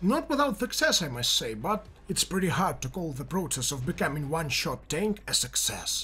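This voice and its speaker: A man with a Russian accent at a moderate pace, with very wide pitch swings. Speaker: video game commentator. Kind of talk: gameplay commentary narration.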